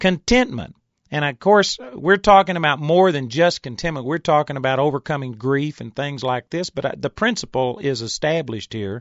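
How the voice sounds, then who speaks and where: Here a man talks in an ordinary speaking voice at a fairly high pitch. His pace is moderate and his intonation lively. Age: 50s. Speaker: Bible teacher. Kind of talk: sermon.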